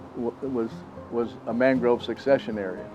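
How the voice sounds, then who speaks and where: With music in the background, a man speaks at a moderate pace in a monotone, flat intonation. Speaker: retired teacher. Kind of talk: oral history interview answer.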